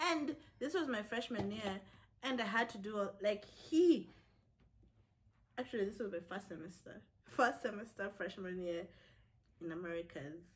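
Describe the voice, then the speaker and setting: A woman's somewhat breathy, medium-pitched voice with lively intonation and long, frequent pauses. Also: moderate pace. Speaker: college student vlogger. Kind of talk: casual chat.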